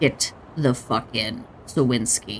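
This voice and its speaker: Clear background noise sits behind a man whose raspy voice has a medium pitch. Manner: blunt, commanding.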